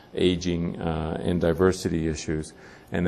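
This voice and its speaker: A man speaks with a very deep, low pitch. His delivery is monotone and flat at a moderate pace. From Cuba. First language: Spanish. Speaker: physician and research institute director. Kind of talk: keynote speech. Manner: hesitant, many fillers.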